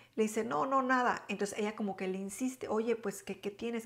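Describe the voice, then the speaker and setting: The setting is quiet. Her pitch varies in an ordinary way. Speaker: storytelling vlogger. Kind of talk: casual vlog storytelling. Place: home room.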